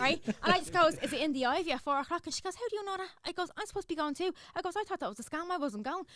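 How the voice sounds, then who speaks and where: Woman with a Dublin accent at an extremely high pitch, bright and sharp in tone, animated, with lively intonation, a very fast pace and hardly any pauses. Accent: Irish, Dublin. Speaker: social media influencer. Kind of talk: casual chat.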